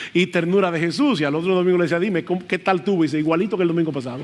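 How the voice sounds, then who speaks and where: A man's high voice comes through noticeable background noise. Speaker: pastor. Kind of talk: sermon. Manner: loud at times.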